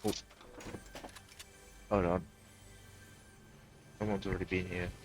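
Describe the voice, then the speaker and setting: Music plays as a man talks fairly quickly. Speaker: gaming streamer. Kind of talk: gameplay commentary. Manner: halting.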